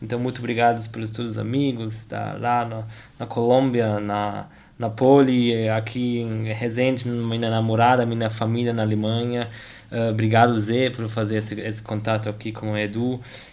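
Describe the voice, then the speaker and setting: In a German accent, a man speaks in a flat monotone, and the room echo is audible. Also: medium pitch for a man, moderate pace. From Germany. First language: German (speaking Portuguese). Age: 20s. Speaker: tennis player and engineer. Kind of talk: interview. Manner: halting, many repetitions and fillers.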